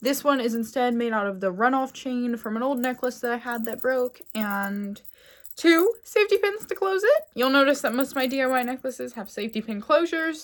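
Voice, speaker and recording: In a very clean recording with a silent background, a woman with a Pennsylvania accent speaks at a fairly quick pace in a high pitch with lively intonation. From Pennsylvania, US. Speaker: fashion content creator. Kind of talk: casual vlog talk. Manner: chatty, rambling.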